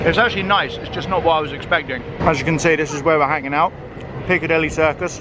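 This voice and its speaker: Noticeable background noise sits behind a man speaking at a very fast pace. His voice is fairly high-pitched, with fairly even intonation. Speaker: travel vlogger. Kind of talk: casual vlog narration. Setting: outdoors. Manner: chatty.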